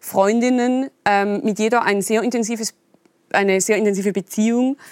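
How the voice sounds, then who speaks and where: A woman with a Swiss German accent speaks at a moderate pace and fairly high pitch with ordinary pitch variation. The sound is dry and close, with no echo. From eastern Switzerland. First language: Swiss German (speaking German). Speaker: novelist. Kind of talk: interview. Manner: halting.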